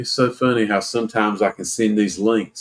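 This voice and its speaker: A fairly low-pitched male voice at a moderate pace, with a dry, close sound and no echo. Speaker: paranormal podcast host. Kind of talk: casual chat.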